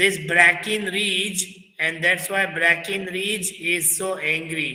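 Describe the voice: With fairly even intonation, the text is given a plain reading aloud.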